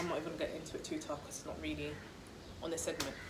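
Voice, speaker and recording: A woman with a London accent, with audible room echo and noticeable background noise. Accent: London English, multicultural. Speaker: vlogger. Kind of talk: casual chat. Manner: fast.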